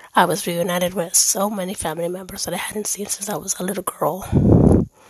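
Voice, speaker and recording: With noticeable background noise, a woman talks at a fairly quick pace and a medium pitch. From Dominican heritage, born in Germany. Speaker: faith podcaster. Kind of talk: personal monologue. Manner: pausing for breath.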